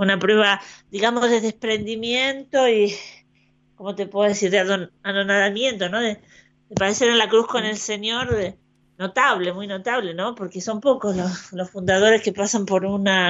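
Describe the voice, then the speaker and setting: A woman speaks in an ordinary speaking voice with a medium pitch. Her intonation is fairly even and her pace moderate. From Argentina. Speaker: postulator for saints' causes. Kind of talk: radio interview.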